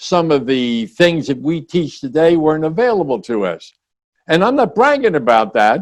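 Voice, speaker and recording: A man talks at a moderate pace, his pitch swinging very widely. The background is quiet. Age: 90s. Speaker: business consultant and speaker. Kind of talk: podcast interview. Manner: animated.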